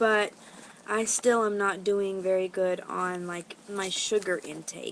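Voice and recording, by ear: A woman's fairly low pitch with vocal fry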